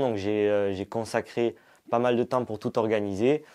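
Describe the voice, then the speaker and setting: With a fairly low pitch and a dark, mellow tone, a man speaks at a moderate pace. His intonation is fairly even, and the background is quiet. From southern France. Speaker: legal staff at company. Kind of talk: casual self-introduction.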